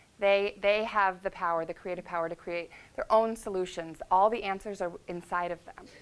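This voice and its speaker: A woman at a medium pitch speaks with big swings in loudness. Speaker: life coach at treatment center. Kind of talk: presentation to an audience. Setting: talk in front of an audience. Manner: fast; animated.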